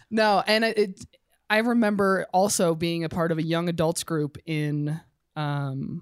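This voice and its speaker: On a very clean recording with a silent background and a dry, close sound with no echo, a woman speaks fairly slowly at a fairly low pitch with ordinary pitch variation. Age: 30s. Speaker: church member. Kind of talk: casual chat. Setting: studio.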